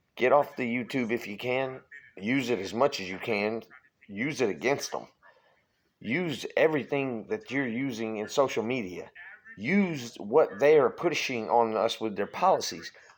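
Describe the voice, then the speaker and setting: Speaking with a Louisiana accent, a man keeps a moderate pace and ordinary pitch variation. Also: medium pitch for a man. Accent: Southern US (Louisiana). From Louisiana, US South. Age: 40s. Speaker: political vlogger. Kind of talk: political rant. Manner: animated.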